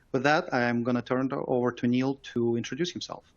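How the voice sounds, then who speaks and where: A man speaks at a medium pitch with a Russian accent. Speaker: software company engineer. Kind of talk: webinar presentation.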